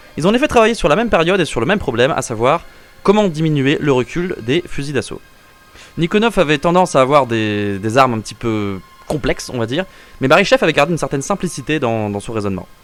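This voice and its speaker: Music plays in the background as a man speaks at a very fast pace. His fairly high voice swings very widely in pitch. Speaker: firearms history video host. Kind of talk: casual educational narration. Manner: casual, joking.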